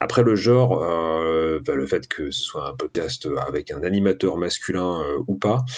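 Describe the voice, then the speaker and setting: Intonation stays lively as a man speaks at a very slow pace. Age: 30s. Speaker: podcast host. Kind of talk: interview.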